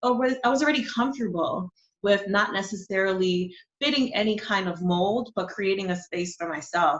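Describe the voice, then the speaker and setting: A woman with a New York accent talks at a moderate pace in a medium pitch. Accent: New York American English. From New York City, born in Honduras. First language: Spanish. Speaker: digital marketing coach and business founder. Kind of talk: interview conversation.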